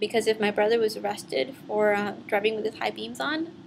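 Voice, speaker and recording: With noticeable background noise, a woman talks fairly quickly at a fairly high pitch and with ordinary pitch variation. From US, raised from age four, born in Mexico. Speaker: immigration activist, college graduate. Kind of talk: personal testimony. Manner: some hesitations and fillers.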